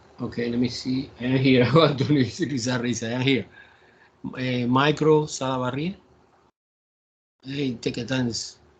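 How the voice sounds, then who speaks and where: A man with a Spanish accent speaks at a medium pitch and moderate pace, somewhat breathy. His intonation is fairly even, with long, frequent pauses. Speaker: math professor. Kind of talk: online class lecture. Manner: halting.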